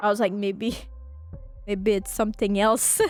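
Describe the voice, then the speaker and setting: The speaker talks at a moderate pace in a French accent. Music plays in the background. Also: woman. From France. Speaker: gaming streamer. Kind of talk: game playthrough with reading aloud of dialogue. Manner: animated; halting.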